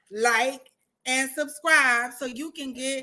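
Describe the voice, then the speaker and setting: A woman's high-pitched, raised and projected voice, bright and sharp in tone, with ordinary pitch variation. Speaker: talk show host. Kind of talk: casual chat. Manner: loud.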